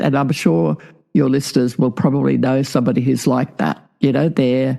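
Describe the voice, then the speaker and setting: A woman's dark, mellow voice with vocal fry and an Australian accent. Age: 70s. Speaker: past life regressionist and author. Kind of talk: interview.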